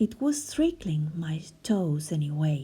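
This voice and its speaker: In a put-on character voice, a woman talks at a fairly slow pace with a very deep, low pitch. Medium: read story.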